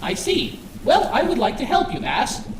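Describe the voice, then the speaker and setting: In a put-on character voice, squeaky and extremely high-pitched, the speaker keeps a moderate pace against a clear echo. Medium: machinima. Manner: formal, calm, precise.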